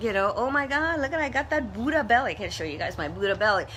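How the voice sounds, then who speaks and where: Lively intonation from a woman at a very fast pace, with noticeable background noise. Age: 60s. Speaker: motivational social media host. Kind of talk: live stream monologue. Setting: Facebook live video. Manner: casual, conversational.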